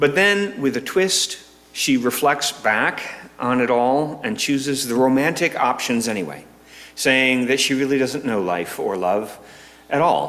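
The speech moves at a fairly slow pace. Its intonation is lively. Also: man. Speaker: minister. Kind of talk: sermon. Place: church. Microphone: podium.

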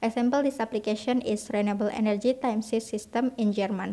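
Speaking in an Indonesian accent, a woman uses a dark, mellow tone and monotone, flat intonation. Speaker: university student. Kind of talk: class presentation. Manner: reading aloud, formal.

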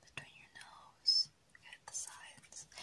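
The speaker is soft-spoken and whispering. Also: woman. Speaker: whisper role-play host. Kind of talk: soft-spoken role-play addressing the viewer. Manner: soft close whisper, caring tone. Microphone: phone near.

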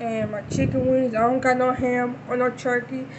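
Over noticeable background noise, a high-pitched woman speaks at a moderate pace in a monotone, flat intonation. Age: 30s. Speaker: YouTuber. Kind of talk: casual talk to camera. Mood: cheerful, festive. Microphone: phone near.

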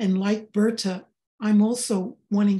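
A woman's dark, mellow, somewhat breathy voice in a monotone, flat intonation. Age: 80s. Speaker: session participant asking questions. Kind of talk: casual question to a spiritual guide. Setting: video call. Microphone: video call.

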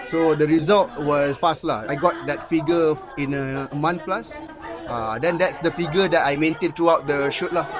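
The speech moves at a fairly slow pace with ordinary pitch variation. Crowd noise sounds in the background. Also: man, fairly high pitch for a man. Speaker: actor. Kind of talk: interview. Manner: casual code-switching with fillers.

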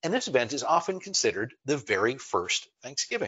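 The background stays quiet while a man talks. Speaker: online presentation host. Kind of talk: lecture. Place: home room.

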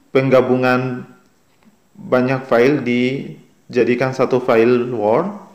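Talking very slowly, a man has a medium pitch. Audible room echo surrounds his voice. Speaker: YouTube tutorial creator. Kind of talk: tutorial.

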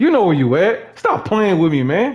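A man shouts loudly, with very wide pitch swings. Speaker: gaming YouTuber. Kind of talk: angry rant, trash-talking while playing. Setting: gaming commentary, online game chat. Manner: loud, animated, repetitive shouting. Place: home room.

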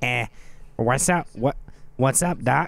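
A man puts on a nasal character voice at a medium pitch. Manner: casual, cheeky.

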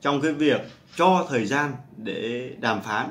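At a very slow pace, a man delivers his words. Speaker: stock market commentator. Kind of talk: market commentary monologue. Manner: animated. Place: home room.

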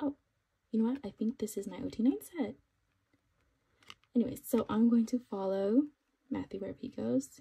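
Somewhat breathy and dark, mellow in tone, a woman speaks at a fairly high pitch with ordinary pitch variation. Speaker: kpop collector and unboxing youtuber; collector vlogger. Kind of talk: casual unboxing haul narration. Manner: animated. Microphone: phone near.

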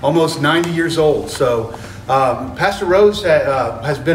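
A man's fairly high voice with lively intonation, audible room echo and light background noise. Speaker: genealogist. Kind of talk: interviewer, casual talk to camera. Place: church.

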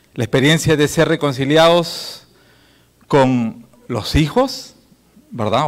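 The background stays quiet. A man talks at a very slow pace. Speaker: pastor and emergency response officer; pastor. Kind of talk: conference talk. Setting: conference hall. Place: hall. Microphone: handheld.

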